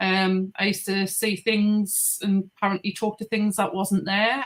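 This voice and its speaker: Using a Geordie accent, a woman talks at a moderate pace and medium pitch with a monotone, flat intonation. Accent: Geordie, noticeable. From northeast England (Geordie). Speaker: paranormal investigator and podcaster. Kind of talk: casual interview.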